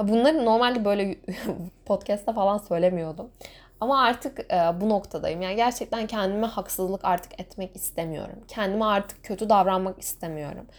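A woman at medium pitch and a moderate pace, with ordinary pitch variation, on a very clean recording against a silent background. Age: 20s. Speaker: podcaster. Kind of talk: solo podcast monologue.

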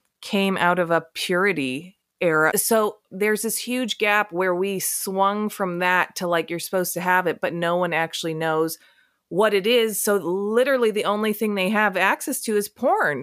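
A woman with a plain, everyday voice, medium pitch, moderate pace and ordinary pitch variation. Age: 30s. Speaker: sex educator. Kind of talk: casual chat.

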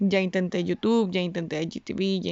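A woman speaks with monotone, flat intonation. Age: 20s. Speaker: podcast host. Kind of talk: personal monologue. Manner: casual, hesitant.

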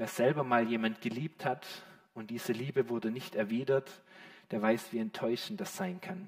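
Talking at a moderate pace, a man uses a warm, animated tone with very wide pitch swings. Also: medium pitch for a man. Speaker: preacher. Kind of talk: sermon. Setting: church with a live congregation. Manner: warm, animated and direct, addressing the congregation as 'you' with rhetorical questions.

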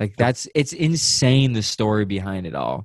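A man speaks in a playful tone with lively intonation and a somewhat breathy quality. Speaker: podcast co-host. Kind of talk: casual chat. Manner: joking, playful.

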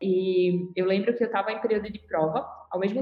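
A woman with an ordinary speaking voice, a medium pitch and ordinary pitch variation talks at a fairly quick pace. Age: 20s. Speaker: corporate supervisor, former junior enterprise member. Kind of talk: casual podcast interview.

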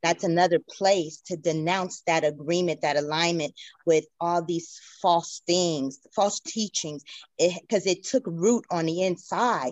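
Delivered at a fairly slow pace, an unremarkable speaking voice keeps a fairly even intonation. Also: woman. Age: 50s. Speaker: church member. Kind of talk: testimony.

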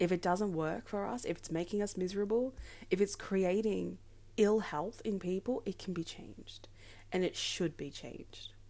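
A woman with an Australian accent speaks at a moderate pace with a medium pitch and ordinary pitch variation. Her tone is dark and mellow, on a very clean recording with a silent background. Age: 20s. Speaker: podcaster and advocate. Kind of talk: solo podcast monologue.

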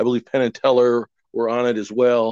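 In a normal speaking voice, a man with an American accent talks at a moderate pace and medium pitch, the sound dry and close with no echo. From Wisconsin. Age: 60s. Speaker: magician. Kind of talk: casual chat.

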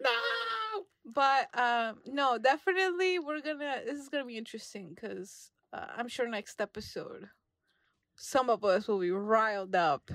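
A woman with an American accent speaks at a moderate pace, her high pitch swinging very widely. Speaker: movie podcast co-host. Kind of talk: casual chat.

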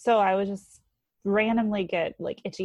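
A woman with an ordinary speaking voice at a medium pitch and a moderate pace, in a dry, close sound with no echo. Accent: American. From North Carolina. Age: 20s. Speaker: stay-at-home mom. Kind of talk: casual interview.

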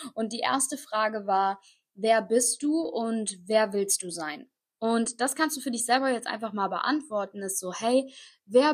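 Somewhat breathy, a woman speaks at a fairly slow pace with a fairly high pitch and ordinary pitch variation. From Koblenz, western Germany. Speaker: podcast host, online entrepreneur and mindset coach. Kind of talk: motivational monologue. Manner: energetic.

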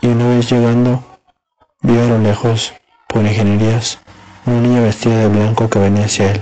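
The speech moves at a moderate pace with monotone, flat intonation. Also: man. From Mexico. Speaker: storyteller reading a horror tale. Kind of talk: ghost story telling, scripted-sounding narration of a campus horror tale.

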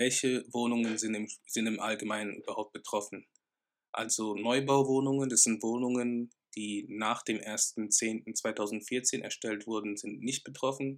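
A man speaks at a medium pitch and a fairly slow pace. His intonation is flat and monotone. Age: 20s. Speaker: real estate business owner. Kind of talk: educational podcast monologue.

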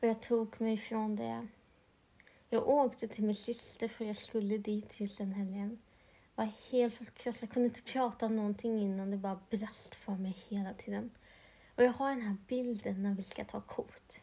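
Her voice is fairly high in pitch and somewhat breathy, with a dark, mellow tone and monotone, flat intonation. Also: moderate pace. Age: 30s. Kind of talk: personal testimony monologue.

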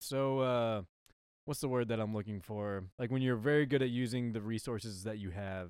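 A man with an American accent at medium pitch, an unremarkable speaking voice, ordinary pitch variation and moderate pace, in a very clean recording with a silent background. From Texas. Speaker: podcast host and musician. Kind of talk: casual chat. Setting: on a boat.

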